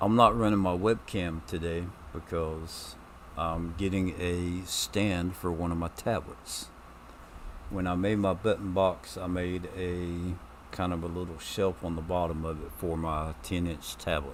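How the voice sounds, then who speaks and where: Very deep and low, this man's voice moves at a fairly slow pace with fairly even intonation. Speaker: gaming streamer. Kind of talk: gameplay commentary. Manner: loud; hesitant, many ums. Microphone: new mic stand, mic moved closer.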